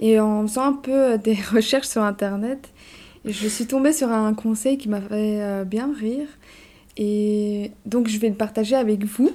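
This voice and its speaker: In a dark, mellow tone, a woman speaks very slowly at a fairly high pitch with fairly even intonation. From Belgium, Brussels. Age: 20s. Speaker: podcast co-host. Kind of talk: casual chat.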